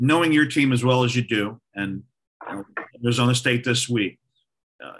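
Bright and sharp in tone, a man talks at a moderate pace and medium pitch, his intonation fairly even. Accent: American. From Ohio. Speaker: podcast co-host. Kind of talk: casual chat.

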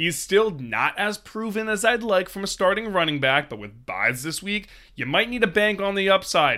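An energetic, raised and projected man's voice, high-pitched with a bright, sharp tone, on a very clean recording with a silent background. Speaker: fantasy football podcast host. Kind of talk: sports analysis monologue.

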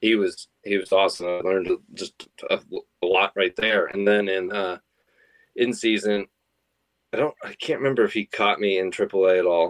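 A man with an American accent talks at a moderate pace and a fairly low pitch. He leaves long, frequent pauses, and the sound is dry and close with no echo. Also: fairly even intonation. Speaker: professional baseball pitcher. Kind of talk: interview. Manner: casual, relaxed.

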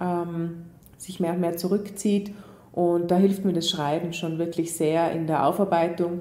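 A woman with a fairly low voice speaks in a monotone, flat intonation, with audible room echo. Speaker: psychologist and author. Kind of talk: interview. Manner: hesitant with fillers.

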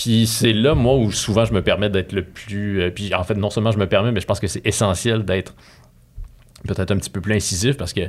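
A man with a Quebec accent talks at a fairly quick pace. His pitch is fairly low and his intonation fairly even. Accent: Québécois French. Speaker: cultural journalist. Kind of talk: casual interview. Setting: studio.

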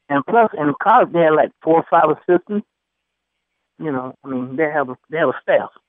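In an ordinary speaking voice with an American accent, a man talks at a fairly quick pace with a fairly high pitch and ordinary pitch variation. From US South, then the Bronx, New York. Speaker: former college basketball player. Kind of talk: interview.

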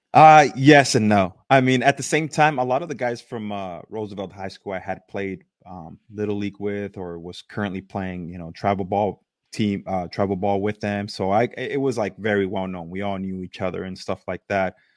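A man with a normal speaking voice talks at a moderate pace in a fairly low pitch, with ordinary pitch variation and big swings in loudness. He hardly pauses, and the background is quiet. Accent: American. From East Los Angeles, California. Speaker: former major league baseball pitcher. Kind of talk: casual interview chat.

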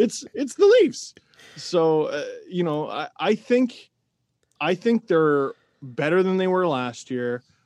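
A man with an Ontario accent speaks at a high pitch and a very slow pace, with long, frequent pauses and very wide pitch swings. The sound is dry and close with no echo, over a quiet background. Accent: Canadian (Ontario). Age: 30s. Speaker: hockey commentator and podcaster. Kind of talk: casual interview chat.

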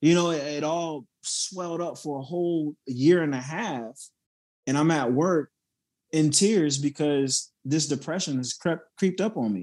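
A man with a Southern US accent speaks at a fairly slow pace. His voice is fairly high, with ordinary pitch variation. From South Carolina, near Charleston. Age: 30s. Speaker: motivational speaker and Marine veteran. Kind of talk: casual interview.

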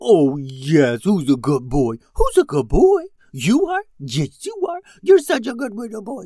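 In a put-on character voice, this man speaks high for a man with very wide pitch swings and a dark, mellow tone, the sound dry and close with no echo. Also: fairly slow pace.

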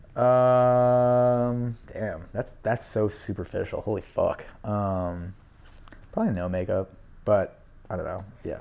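Over music in the background, a man with an American accent speaks at a very slow pace. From Manhattan, New York City. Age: 20s. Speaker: guest. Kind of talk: casual chat.

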